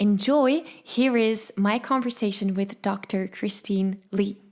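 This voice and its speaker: A woman with a non-native accent. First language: not English. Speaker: podcast host, singing coach. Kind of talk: recorded intro; podcast interview. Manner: animated.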